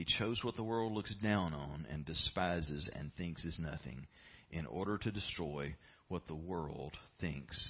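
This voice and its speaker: A man's very deep, low voice with vocal fry, lively intonation and a fairly slow pace. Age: 50s. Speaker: pastor. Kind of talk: sermon.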